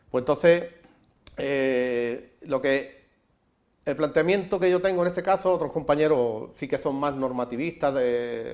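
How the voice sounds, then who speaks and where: Recorded very cleanly against a silent background, a man with an unremarkable speaking voice talks at a fairly high pitch and fairly slow pace with ordinary pitch variation. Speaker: advocate of written Andalusian. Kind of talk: TV interview answer.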